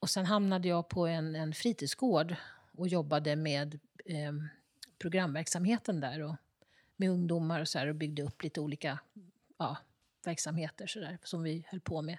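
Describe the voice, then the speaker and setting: At a moderate pace and a fairly low pitch, a woman speaks with ordinary pitch variation and long, frequent pauses, in a dry, close sound with no echo on a very clean recording with a silent background. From Stockholm, Södermalm. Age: 60s. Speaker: ceramicist. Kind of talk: interview. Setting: her pottery workshop.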